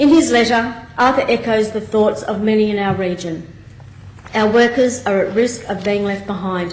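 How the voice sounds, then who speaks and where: Against noticeable background noise, a woman speaks fairly quickly in a fairly high voice with fairly even intonation. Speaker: state member of parliament. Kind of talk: parliamentary debate speech.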